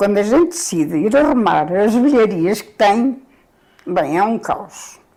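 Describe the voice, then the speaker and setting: At a fairly slow pace, a woman of medium pitch with a dark, mellow tone speaks with very wide pitch swings and big swings in loudness. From Portugal, Coimbra. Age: 70s. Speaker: retired former store worker. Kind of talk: casual interview chat.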